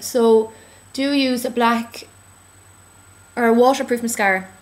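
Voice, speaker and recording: A woman mumbles in a put-on character voice, high-pitched and delivered in a flat monotone. Her pace is moderate. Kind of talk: casual tutorial advice. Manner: mumbling.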